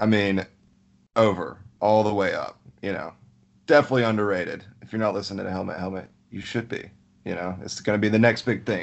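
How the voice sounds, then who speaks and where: In a Southern US accent, a man with a fairly low pitch talks very fast with fairly even intonation, long, frequent pauses and big swings in loudness. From Alabama. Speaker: fantasy football league member. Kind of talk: casual chat.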